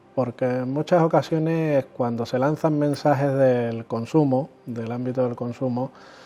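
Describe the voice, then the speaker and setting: A man with an Andalusian accent speaks at a medium pitch in a dark, mellow tone. His pace is fairly slow, with fairly even intonation and hardly any pauses. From Andalusia, Spain. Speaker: consumer association president. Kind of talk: interview. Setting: chamber of commerce office. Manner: hesitant, repeats words.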